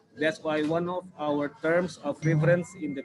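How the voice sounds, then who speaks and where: Noticeable background noise behind an Indonesian accent, fairly even intonation and a moderate pace. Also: man. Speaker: city government urban planner. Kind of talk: online presentation Q&A. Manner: halting, many fillers.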